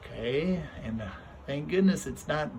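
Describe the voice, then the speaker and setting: A man at a fairly slow pace with very wide pitch swings, amid audible room echo and noticeable background noise. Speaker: teacher. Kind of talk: lesson for children. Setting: outdoors. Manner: soft-spoken.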